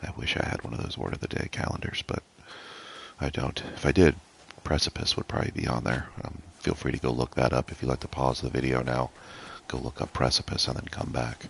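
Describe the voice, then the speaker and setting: Over noticeable background noise, a man speaks at a fairly quick pace with a very deep, low pitch and fairly even intonation. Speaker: gaming youtuber. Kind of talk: gameplay commentary. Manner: quiet, trying not to wake others; casual, hesitant with fillers.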